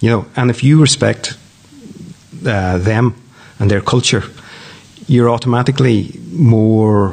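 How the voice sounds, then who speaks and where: The speaker has a Donegal accent, very even loudness, ordinary pitch variation, and long, frequent pauses. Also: man, medium pitch for a man, fairly slow pace. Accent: Donegal Irish. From Ireland, County Donegal (Downings). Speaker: news editor and media company director. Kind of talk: casual interview. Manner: hesitant, with fillers and repetitions.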